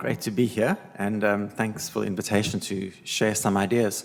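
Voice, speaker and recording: In a South African accent, a man speaks at a moderate pace with a fairly low pitch and monotone, flat intonation. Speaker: learning designer. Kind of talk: panel presentation.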